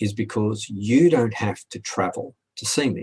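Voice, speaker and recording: With vocal fry, a man speaks in a fairly low pitch, the sound dry and close with no echo. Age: 60s. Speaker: hypnotherapist. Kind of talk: video FAQ.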